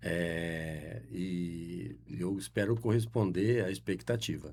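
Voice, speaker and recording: Very slow and very deep in pitch, a man speaks with vocal fry and very wide pitch swings. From Brazil, Adamantina, São Paulo state. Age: 70s. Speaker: guest, local politics figure. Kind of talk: radio interview. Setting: studio. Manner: halting, many fillers.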